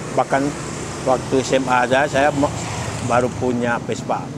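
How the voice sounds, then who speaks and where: Over noticeable background noise, a man talks in a monotone with flat intonation. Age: 60s. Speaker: vespa club member. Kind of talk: interview. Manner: halting.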